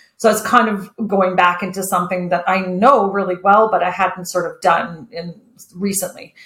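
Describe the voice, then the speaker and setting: In a Canadian accent, a woman with a plain, everyday voice speaks at a moderate pace, her pitch medium and her intonation fairly even. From Kitchener-Waterloo, Ontario, Canada. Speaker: entrepreneur. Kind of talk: casual interview.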